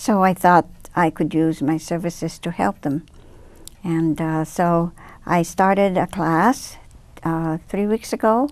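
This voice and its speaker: A woman speaks with a Japanese accent in a fairly low pitch, with ordinary pitch variation and long, frequent pauses. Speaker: speech therapist. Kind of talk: interview. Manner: halting.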